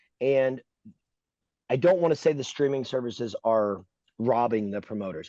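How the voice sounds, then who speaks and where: A man talks at a moderate pace with medium pitch and lively intonation. His tone is dark and mellow, the sound dry and close with no echo, over a quiet background. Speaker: racing podcast host. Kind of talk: opinionated casual chat. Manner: loud; animated, emphatic.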